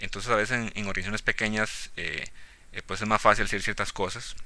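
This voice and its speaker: This man has a fairly low pitch and a bright, sharp tone, delivered in a flat monotone. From Costa Rica, rural town, schooled in Cartago. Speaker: data scientist. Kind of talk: interview.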